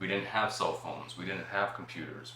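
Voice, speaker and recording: A man with an American accent, noticeable background noise and audible room echo. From Phoenix, Arizona. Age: 40s. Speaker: entrepreneur and after-school arts program director. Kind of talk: podcast interview.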